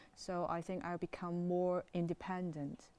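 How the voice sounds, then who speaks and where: A woman's medium-pitched voice with a Chinese accent, at a moderate pace. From China. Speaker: international student. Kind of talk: interview. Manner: halting.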